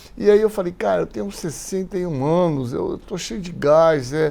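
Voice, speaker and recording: A man with a fairly high voice. His intonation is lively. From Brazil, Santos (São Paulo coast). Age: 60s. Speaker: physician and infectious disease expert. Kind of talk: interview conversation. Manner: hesitant, many fillers.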